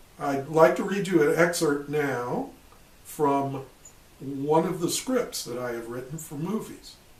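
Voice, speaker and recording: A fairly high-pitched man with an American accent speaks at a fairly slow pace, his intonation lively and his loudness swinging widely, with audible room echo. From US Midwest, Illinois. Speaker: retired army officer. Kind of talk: personal testimony.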